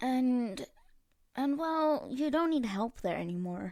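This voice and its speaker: Mumbling in a put-on character voice, the speaker moves at a fairly slow pace with very wide pitch swings. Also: woman, high pitch for a woman. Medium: read story. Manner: blunt, mumbling.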